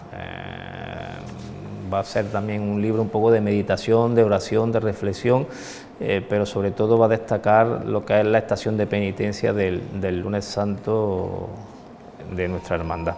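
Over light background noise, a man talks at a fairly slow pace with a fairly low pitch and monotone, flat intonation. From Andalusia, Spain. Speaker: leader of a religious brotherhood. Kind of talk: interview. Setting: inside a church. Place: church. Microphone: lapel.

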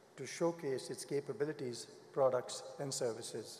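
With audible room echo, a man speaks at a moderate pace in a fairly high pitch with ordinary pitch variation. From India. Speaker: business executive. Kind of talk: formal speech. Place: hall. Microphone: podium.

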